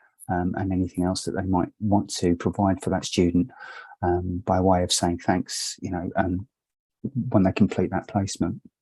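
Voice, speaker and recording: In a very clean recording with a silent background and a dry, close sound with no echo, a man with a very deep, low pitch and a dark, mellow tone speaks in a monotone, flat intonation at a moderate pace. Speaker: education advisor. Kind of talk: conference presentation. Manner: hesitant with many fillers.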